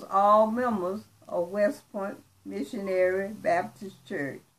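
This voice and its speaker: Her pitch is medium for a woman. She speaks at a very slow pace. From US South, Georgia. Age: 80s+. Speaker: church elder. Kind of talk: testimony.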